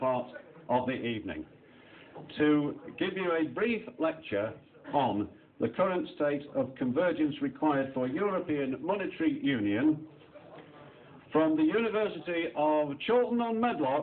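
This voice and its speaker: Moderately paced, a man talks as light noise lingers in the background. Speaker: comedian compere. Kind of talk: stand-up comedy. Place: stage. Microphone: handheld.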